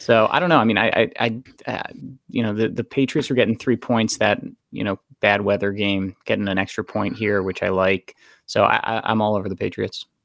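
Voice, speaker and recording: A man with an American accent and a normal speaking voice, fairly low in pitch and fairly even in intonation, at a fairly quick pace in a very clean recording with a silent background. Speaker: podcast co-host, football bettor. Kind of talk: casual sports betting chat.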